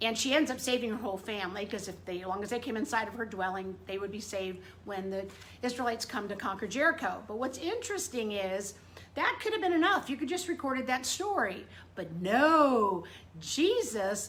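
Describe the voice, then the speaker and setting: A loud, animated delivery at a fairly quick pace, with very wide pitch swings and noticeable background noise. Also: woman. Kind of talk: casual devotional talk to camera. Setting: indoors in front room.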